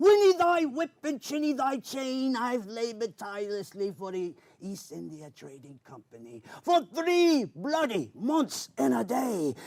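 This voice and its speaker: A man performs a put-on character voice at an extremely high pitch, with very wide pitch swings. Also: moderate pace. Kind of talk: spoken word poetry performance. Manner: theatrical, old-fashioned pirate speech.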